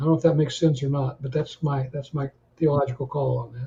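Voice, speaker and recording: Very fast and somewhat breathy, a man speaks in a dark, mellow tone with fairly even intonation. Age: 70s. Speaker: retired credit union executive. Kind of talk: interview.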